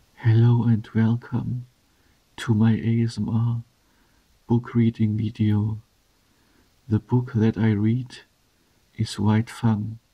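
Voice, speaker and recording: Soft-spoken and somewhat breathy, a man talks at a very slow pace with long, frequent pauses, using a dark, mellow tone and monotone, flat intonation. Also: medium pitch for a man. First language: German. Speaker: ASMR creator. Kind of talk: reading aloud.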